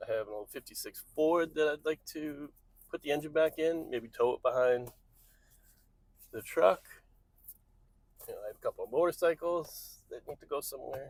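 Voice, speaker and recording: With long, frequent pauses and big swings in loudness, a man speaks at a moderate pace in a dry, close sound with no echo. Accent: American. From New England. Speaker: vlogger. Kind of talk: casual vlog. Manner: mumbling; rambling.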